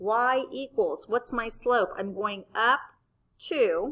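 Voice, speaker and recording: A woman at a high pitch, with lively intonation and a very slow pace. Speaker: math teacher. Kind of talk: tutorial. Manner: casual, conversational.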